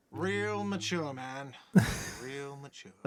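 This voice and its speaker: A man performs a put-on character voice at medium pitch. It comes out whiny. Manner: shouting, complaining.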